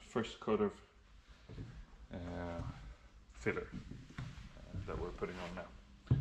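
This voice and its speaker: Noticeable background noise sits under a man talking at a moderate pace. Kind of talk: casual vlog chat. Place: workshop. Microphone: phone near.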